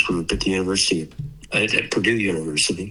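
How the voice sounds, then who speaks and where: A man speaks with a fairly low voice and ordinary pitch variation. Music plays in the background. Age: 80s+. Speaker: solar cell inventor and company co-founder. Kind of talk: interview.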